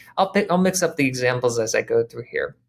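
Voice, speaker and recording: Set against a silent background in a very clean recording, a man speaks in a fairly high voice. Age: 30s. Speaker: branding consultant. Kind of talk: tutorial. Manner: fast.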